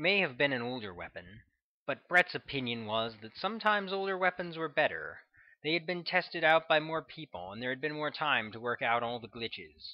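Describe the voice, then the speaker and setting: A plain, everyday voice at a fairly quick pace. Loudness swings widely, and the intonation is lively. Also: man, fairly high pitch for a man. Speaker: audiobook narrator. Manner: measured, even-paced, formal narration.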